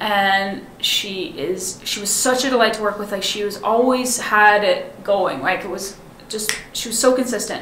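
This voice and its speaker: In an American accent, a woman with a fairly high pitch speaks at a moderate pace and fairly even intonation. Audible room echo and noticeable background noise surround her. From Seattle, US Pacific Northwest. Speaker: film director. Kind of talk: casual chat.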